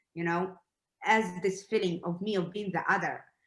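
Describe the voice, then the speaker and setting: A woman with a Russian accent, medium in pitch and with fairly even intonation. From Russia, then Israel from age ten. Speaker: documentary filmmaker. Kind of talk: panel discussion.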